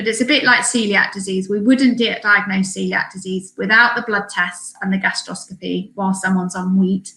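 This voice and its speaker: A woman with a British accent talks at a fairly quick pace and medium pitch, with fairly even intonation and hardly any pauses. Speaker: allergy specialist speaker. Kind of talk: webinar presentation. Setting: online webinar. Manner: fast.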